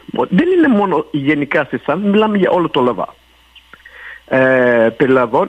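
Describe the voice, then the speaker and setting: A fairly high-pitched man at a fairly slow pace, with very wide pitch swings. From Montreal, Park Extension. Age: 50s. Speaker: city councillor. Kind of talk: radio interview. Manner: halting.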